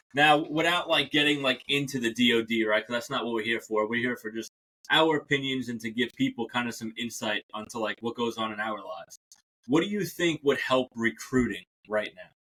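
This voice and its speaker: A man in a New York accent, medium pitch with ordinary pitch variation, at a fairly quick pace. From New York City, Staten Island. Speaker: podcast host. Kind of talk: casual podcast interview. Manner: casual, animated.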